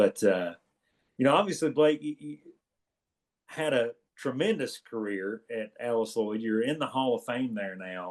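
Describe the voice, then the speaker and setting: A man with an Eastern Kentucky accent talks at a moderate pace and medium pitch, his intonation lively. His loudness swings widely, and he leaves long, frequent pauses. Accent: Eastern Kentucky twang. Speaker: podcast co-host, former college basketball player. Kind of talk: casual chat.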